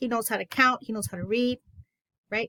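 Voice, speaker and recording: In a Spanish accent, a woman speaks at a high pitch with a bright, sharp tone, the sound dry and close with no echo. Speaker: education consultant. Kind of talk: teacher training webinar. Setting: online presentation. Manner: enthusiastic.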